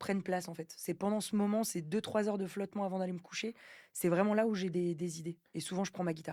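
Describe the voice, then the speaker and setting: On a very clean recording with a silent background, a woman speaks at a moderate pace in a dark, mellow tone with fairly even intonation. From France. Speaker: singer, actress, comedian. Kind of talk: podcast interview answer. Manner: casual, hesitant.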